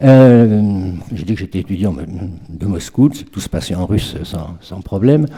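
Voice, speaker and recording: Speaking at a fairly slow pace, a man uses lively intonation and big swings in loudness at a fairly low pitch. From France. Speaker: literary scholar. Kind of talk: lecture. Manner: halting.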